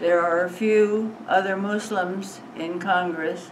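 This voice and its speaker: In a room with audible echo and noticeable background noise, a woman with an American accent talks at a fairly low pitch with monotone, flat intonation. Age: 90s. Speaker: elderly interviewee. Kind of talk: casual interview. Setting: mosque hall before congregation.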